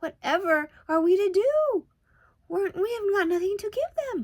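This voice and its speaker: A woman uses a put-on, squeaky character voice at an extremely high pitch. She talks at a moderate pace. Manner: despairing, near tears.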